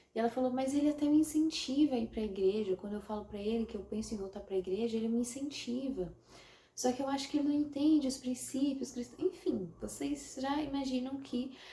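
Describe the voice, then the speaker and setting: The tone is dark and mellow, with ordinary pitch variation. Delivery moves at a fairly quick pace. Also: woman. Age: 20s. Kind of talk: casual talk to camera.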